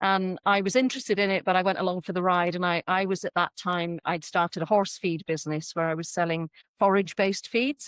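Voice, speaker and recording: A woman talks with an English accent at a medium pitch and a fairly quick pace. The sound is dry and close with no echo, over a quiet background. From England. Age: 60s. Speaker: horse trainer. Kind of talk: podcast interview.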